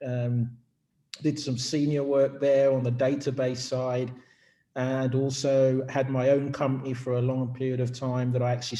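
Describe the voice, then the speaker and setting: Speaking in a British accent, a man with a dark, mellow tone talks at medium pitch and a moderate pace, his intonation flat and monotone. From UK. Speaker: business executive. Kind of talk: company info session presentation.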